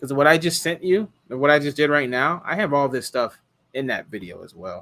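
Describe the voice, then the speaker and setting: A man's fairly high, bright and sharp voice, lively in intonation, fairly quick, with big swings in loudness. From Hawaii. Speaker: car rental host, live streamer. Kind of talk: live stream chat. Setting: live stream.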